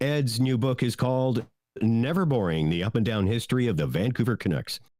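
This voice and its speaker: Talking at a fairly quick pace, a man with a Canadian accent uses a plain, everyday voice with lively intonation. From Canada. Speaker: podcast co-host. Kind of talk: casual chat.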